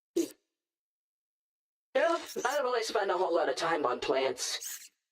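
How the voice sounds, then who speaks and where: Raspy and fairly high in pitch, this is a put-on character voice. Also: moderate pace. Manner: casual, uninterested.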